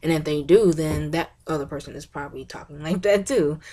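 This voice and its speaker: A woman is talking. The rise and fall of her pitch is ordinary. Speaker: college student giving class presentation. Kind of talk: class presentation video. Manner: animated, bubbly.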